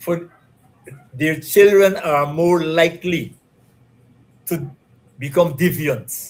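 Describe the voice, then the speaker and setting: A man speaks with a somewhat breathy voice. His pitch varies in an ordinary way. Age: 70s. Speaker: retired police and military officer. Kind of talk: interview. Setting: live stream.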